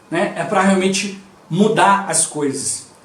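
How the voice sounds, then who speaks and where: With noticeable background noise and audible room echo, a man talks at a high pitch. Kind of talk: devotional teaching. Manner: slightly mumbled.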